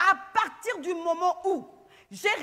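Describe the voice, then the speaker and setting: This woman's tone is bright and sharp. She sounds animated. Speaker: pastor. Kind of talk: sermon.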